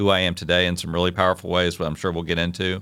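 Speaking at a very fast pace, a man with a very deep, low pitch talks in a Virginia accent. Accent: Southern US (Virginia). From US South, Virginia (Hopewell, near Richmond). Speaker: city parks administrator. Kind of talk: interview.

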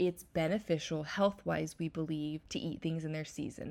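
A woman's fairly low-pitched voice. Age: 30s. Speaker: wellness podcast host. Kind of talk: casual solo chat.

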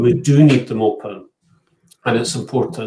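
With fairly even intonation, a man talks in a somewhat breathy voice. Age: 50s. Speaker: spiritualist medium. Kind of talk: panel discussion.

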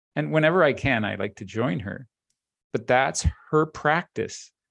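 Against a quiet background, a man with an unremarkable speaking voice talks at a moderate pace with lively intonation, the sound dry and close with no echo. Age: 60s.

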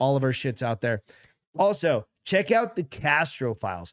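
A plain, everyday voice at a moderate pace, with a dry, close sound with no echo and a very clean recording over a silent background. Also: man. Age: 40s. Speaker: podcast co-host. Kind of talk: casual chat.

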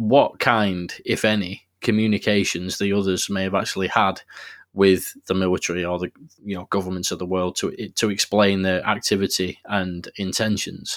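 With a non-native accent, a man speaks at a moderate pace in a fairly low, monotone, flat voice. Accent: non-American, noticeable. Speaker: podcast host. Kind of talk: casual interview.

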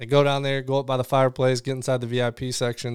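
A man with an American accent, medium pitch, monotone flat intonation and a very fast pace. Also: dry, close sound with no echo, very clean recording, silent background. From Illinois (Chicago, Rockford). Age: 40s. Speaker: former soldier, police officer and coach. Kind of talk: casual chat.

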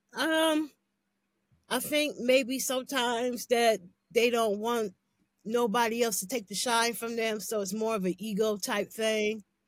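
In a very clean recording with a silent background, a woman with a fairly high pitch has an ordinary speaking voice and ordinary pitch variation. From Canton, Ohio. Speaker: R&B singer. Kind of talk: casual interview chat.

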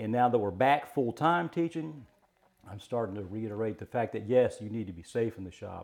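Speaking at a moderate pace, a man with a medium pitch uses lively intonation and big swings in loudness. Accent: Virginia. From Virginia, Mecklenburg County. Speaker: carpentry teacher. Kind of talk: casual interview.

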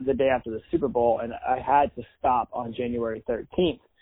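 A man with a normal speaking voice, medium-pitched, talking at a fairly quick pace. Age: 40s. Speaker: podcast host. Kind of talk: casual interview. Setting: video call.

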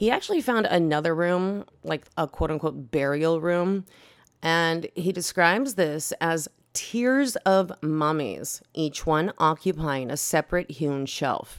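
At a fairly slow pace, a woman speaks in a fairly low pitch with lively intonation and an animated tone. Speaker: podcast host. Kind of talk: history documentary narration; casual storytelling with cursing. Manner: irreverent, profane; animated, conversational.

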